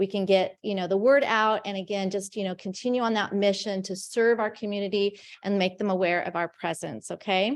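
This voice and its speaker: Her medium-pitched voice moves at a fairly quick pace as the woman speaks. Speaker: meeting organizer. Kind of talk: meeting announcements. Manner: loud; animated.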